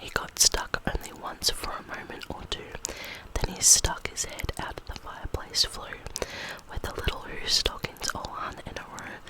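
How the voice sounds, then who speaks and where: A whispering woman at a fairly slow pace, with noticeable background noise. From Australia. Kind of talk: ASMR bedtime story reading. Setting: close microphone. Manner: whispered.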